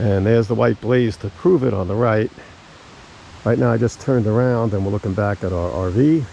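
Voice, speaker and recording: Against noticeable background noise, a man speaks fairly quickly in a fairly low voice with lively intonation. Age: 60s. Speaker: travel vlogger. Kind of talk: outdoor travel vlog narration. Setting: outdoors on a hiking trail. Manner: casual.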